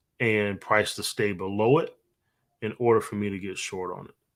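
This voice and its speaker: In a very clean recording with a silent background, a man with a plain, everyday voice talks at a moderate pace, fairly low in pitch and with fairly even intonation. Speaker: trading coach. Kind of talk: live trading session tutorial. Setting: live stream.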